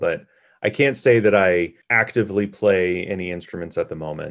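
A normal speaking voice from a man, fairly low in pitch, with ordinary pitch variation, a moderate pace and a quiet background. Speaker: podcast co-host. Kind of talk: educational podcast chat.

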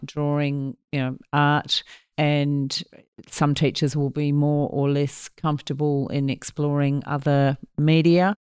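On a very clean recording with a silent background, a woman with an Australian accent and a very deep, low pitch speaks at a fairly slow pace in a monotone, flat intonation. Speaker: academic researcher in language and literacy. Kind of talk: educational discussion with audience. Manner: hesitant, with many fillers.

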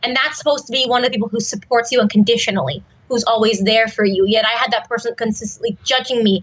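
An animated tone at a very fast pace. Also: woman. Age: 20s. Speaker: actress and children's theater teacher. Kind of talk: interview.

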